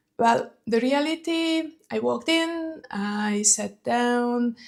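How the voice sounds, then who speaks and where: A woman with a Hungarian accent speaks in a dark, mellow tone. The recording is very clean, with a silent background. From Hungary. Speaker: fragrance vlogger. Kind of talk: casual vlog talk.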